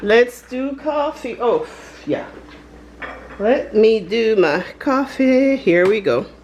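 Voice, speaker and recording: A woman with a high pitch and a non-native accent speaks at a very slow pace, with lively intonation, long, frequent pauses and noticeable background noise. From Panama. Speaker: lifestyle vlogger. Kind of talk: casual vlog chat. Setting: home, filming on camera. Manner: chatty, informal.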